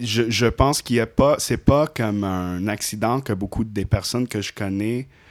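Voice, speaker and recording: A man at medium pitch, moderate pace and ordinary pitch variation, with hardly any pauses, on a very clean recording against a silent background. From Indonesia. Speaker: professional musician and artist. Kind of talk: casual chat.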